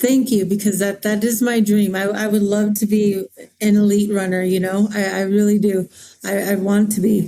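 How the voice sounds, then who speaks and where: A woman's medium-pitched voice in an American accent, dark and mellow in tone, at a moderate pace with monotone, flat intonation and very even loudness. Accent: Navajo English. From Navajo Nation, Arizona. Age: 40s. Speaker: mountain runner and student. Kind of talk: interview. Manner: halting.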